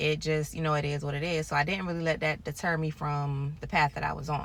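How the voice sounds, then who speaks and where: A woman's very deep, low voice on a very clean recording with a silent background. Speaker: YouTuber sharing spiritual journey. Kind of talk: personal testimony. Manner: fast.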